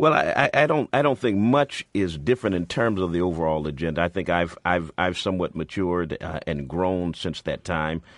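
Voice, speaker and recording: Moderate pace with an American accent, dry, close sound with no echo, and a quiet background. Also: man. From Springfield, Massachusetts. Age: 40s. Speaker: pastor and civil rights organization leader. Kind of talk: radio talk show interview. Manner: repeats words, stammering starts.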